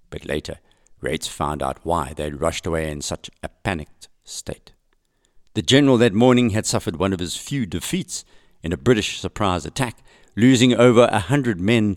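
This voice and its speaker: Vocal fry runs through a man's very deep, low voice as it moves in very wide pitch swings. The sound is dry and close with no echo, and the recording is very clean, with a silent background. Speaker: podcast host. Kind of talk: history documentary narration. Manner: measured, storytelling narration.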